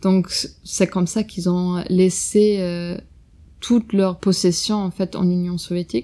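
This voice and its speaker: A woman with a German accent at a very slow pace, medium-pitched with a dark, mellow tone and fairly even intonation, on a very clean recording with a silent background. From Germany (Bavaria), Russian-German family. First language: German (speaking French). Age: young. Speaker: podcast guest recounting family history. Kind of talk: personal family testimony. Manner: hesitant, many fillers.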